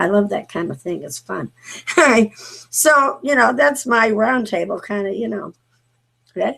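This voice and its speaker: A woman with a fairly high pitch and a bright, sharp tone speaks with very wide pitch swings and big swings in loudness. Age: 50s. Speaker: talk show host. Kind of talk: casual chat. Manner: halting, many fillers.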